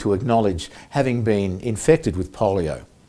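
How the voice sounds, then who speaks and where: A man with an Australian accent, his tone dark and mellow, on a very clean recording with a silent background. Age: 60s. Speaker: polio survivor and advocacy volunteer. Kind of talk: prepared presentation. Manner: formal.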